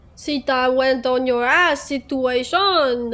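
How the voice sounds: Putting on a character voice with a French accent, a woman speaks at a fairly slow pace with a high pitch. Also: ordinary pitch variation.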